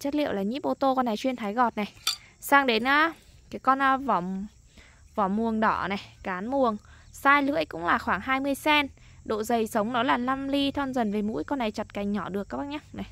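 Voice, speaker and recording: A woman's high-pitched voice in a bright, sharp tone, at a moderate pace with long, frequent pauses, in a dry sound with no echo. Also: lively intonation. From Lai Châu, northern Vietnam highlands. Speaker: online knife seller. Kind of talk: sales pitch. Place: open country. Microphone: phone near.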